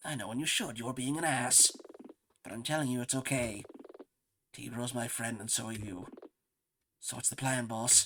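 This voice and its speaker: Putting on a raspy character voice at medium pitch, a man talks at a moderate pace with fairly even intonation and long, frequent pauses. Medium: game stream. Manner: casual, blunt.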